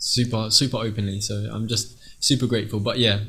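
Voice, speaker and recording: With an English accent, a man speaks fairly quickly at a fairly low pitch in a monotone, flat intonation. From England. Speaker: singer. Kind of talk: interview.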